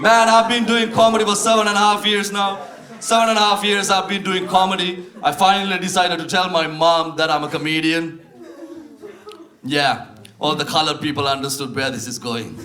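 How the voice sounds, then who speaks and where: With noticeable background noise behind him, a man with a high voice projects loudly, speaking fairly quickly with lively intonation. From Sri Lanka. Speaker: stand-up comedian. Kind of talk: live stand-up comedy.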